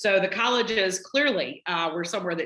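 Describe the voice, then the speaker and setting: A woman talks with a slight Southern US accent and a bright, sharp tone. She moves at a fairly quick pace with ordinary pitch variation. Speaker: college dean. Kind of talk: casual talk.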